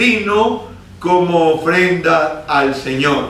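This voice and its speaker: Through noticeable background noise, a man in a raised, projected voice speaks at a very slow pace with lively intonation. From Neira, Caldas, Colombia. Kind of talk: religious talk to a prayer group.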